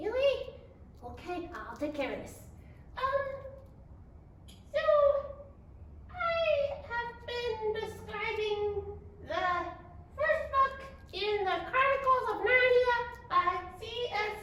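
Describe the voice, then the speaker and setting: A cartoonish character voice from a woman, extremely high in pitch, very slow, with long, frequent pauses and clear echo. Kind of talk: children's library video. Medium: puppet. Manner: hesitant, flustered.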